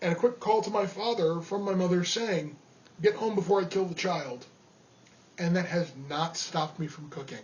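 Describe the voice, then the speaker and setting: A man with a New York accent speaks at a high pitch, with ordinary pitch variation and a moderate pace. Noticeable background noise runs underneath. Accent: New York area. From New York (Rockland County). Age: 30s. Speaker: amateur cook. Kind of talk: audition monologue. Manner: casual, with fillers.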